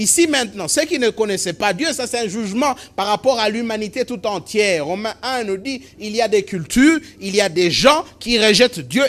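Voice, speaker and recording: Man with a high voice, lively intonation and moderate pace. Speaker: pastor. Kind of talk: sermon preached to a congregation.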